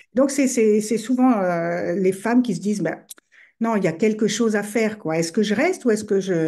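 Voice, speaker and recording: Fairly high in pitch, a woman talks at a fairly quick pace. Her tone is dark and mellow, with ordinary pitch variation. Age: 60s. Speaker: relationship coach. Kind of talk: podcast interview. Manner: hesitant, many fillers.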